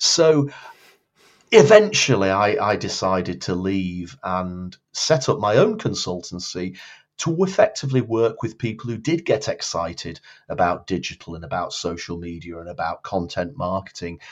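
In a Lancashire accent, a man talks at a fairly low pitch and a moderate pace with lively intonation. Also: big swings in loudness. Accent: northern English (Lancashire). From northern England, Blackpool. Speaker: marketing consultant and public speaker. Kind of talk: interview.

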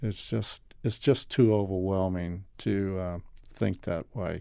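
The voice has a dark, mellow tone and moves at a fairly slow pace. The recording is very clean, with a silent background. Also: man. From New Orleans, Louisiana. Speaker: photographer and cinematographer. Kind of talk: interview. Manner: halting.

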